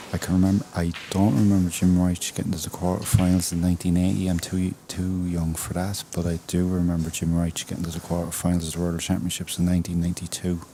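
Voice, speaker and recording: Over noticeable background noise, a man with an Irish accent talks very fast with hardly any pauses. His very deep, low voice keeps a monotone, flat intonation. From Ireland. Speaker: snooker commentary guest. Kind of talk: casual chat. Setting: commentary booth.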